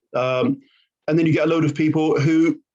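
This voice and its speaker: A man's monotone, flat intonation. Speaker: learning and development trainer. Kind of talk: conversational podcast discussion. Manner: fast.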